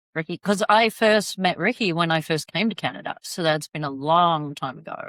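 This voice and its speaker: In an Australian accent, a woman talks at a moderate pace with fairly low pitch and ordinary pitch variation, the sound dry and close with no echo. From Australia, Sydney. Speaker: travel advisor. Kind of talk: casual interview chat.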